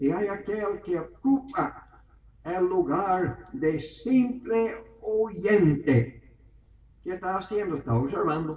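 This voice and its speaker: A man with a high voice speaks very slowly, his intonation lively. Noticeable background noise and audible room echo surround him. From Venezuela. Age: 70s. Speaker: preacher. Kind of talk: sermon.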